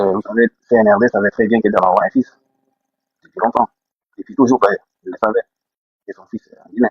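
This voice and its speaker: A man speaks quietly at a very fast pace, with big swings in loudness and long, frequent pauses. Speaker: panelist in political live discussion. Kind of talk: live panel debate. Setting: remote call in a public place. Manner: speaking quietly.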